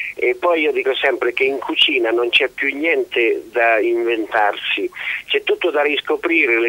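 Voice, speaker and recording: A man talks at a fairly slow pace. Noticeable background noise can be heard throughout. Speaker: country house owner. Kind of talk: radio interview. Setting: phone call.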